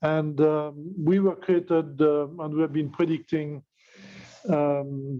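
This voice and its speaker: A man speaks with a French accent at a fairly high pitch. His delivery is very slow and monotone, with flat intonation. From France. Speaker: tech company executive. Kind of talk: webinar presentation. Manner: halting, many fillers.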